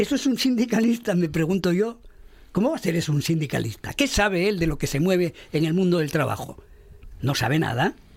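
A man talks at a fairly quick pace with a high pitch and very wide pitch swings. His loudness stays very even throughout. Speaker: radio panelist. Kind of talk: panel debate. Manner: animated.

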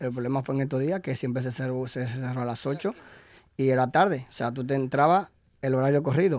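He has an unremarkable speaking voice, pitched in the middle range with ordinary variation. This man's delivery is fairly quick. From Dominican Republic. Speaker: cider bar owner and cider pourer. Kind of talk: casual interview. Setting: radio studio.

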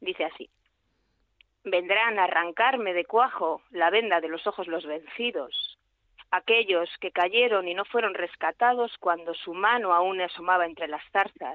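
With an ordinary speaking voice, a woman talks at medium pitch and a fairly slow pace, with ordinary pitch variation. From Aragón, Spain (Calatayud). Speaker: poet. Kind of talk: poetry reading. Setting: phone call.

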